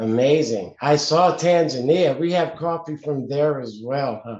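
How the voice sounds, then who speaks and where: The speaker has a New Jersey accent. The pace is very slow. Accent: New Jersey American. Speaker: coffee business owner, show host. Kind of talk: interview.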